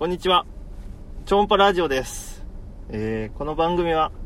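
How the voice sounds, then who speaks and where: A man speaks at a moderate pace. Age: 30s. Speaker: podcast host, fishing lure maker. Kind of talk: casual chat.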